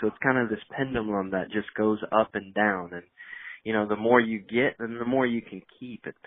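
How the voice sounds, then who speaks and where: A normal speaking voice with an American accent moves at a moderate pace. Its loudness swings widely. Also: man, fairly low pitch for a man. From Indiana, US Midwest. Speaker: business executive and author. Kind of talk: podcast interview.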